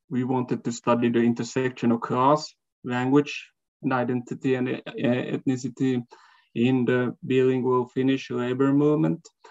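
Quiet surrounds the man's voice. He keeps a moderate pace and fairly even intonation. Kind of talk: lecture. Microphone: video call.

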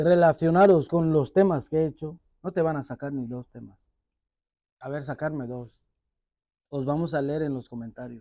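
A man with a fairly high pitch and a dark, mellow tone at a moderate pace, with big swings in loudness and long, frequent pauses, in a dry sound with no echo over a quiet background. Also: ordinary pitch variation. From Equatorial Guinea. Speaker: rapper; interviewee. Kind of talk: interview.

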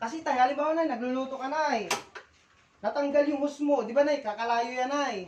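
A woman's high-pitched, animated voice at a very fast pace, with noticeable background noise. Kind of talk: street sales pitch. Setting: live product demonstration in person. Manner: animated, fast, persuasive demonstrating talk; politely repetitive, addressing customers as tay, nay, ma'am.

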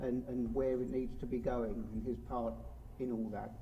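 This man speaks with a British accent at a medium pitch. Light background noise is present. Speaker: event host introducing the speaker. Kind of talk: introduction of a speaker at a seminar. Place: hall. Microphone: podium.

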